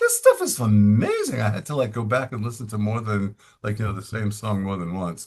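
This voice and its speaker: Somewhat breathy and fairly low in pitch, a man with an American accent speaks at a fairly quick pace. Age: 60s. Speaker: podcast host and author. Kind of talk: interview. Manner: animated.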